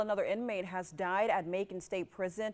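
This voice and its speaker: A woman with a normal speaking voice talks at a fairly quick pace, medium pitch and ordinary pitch variation. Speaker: news anchor. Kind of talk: TV news read.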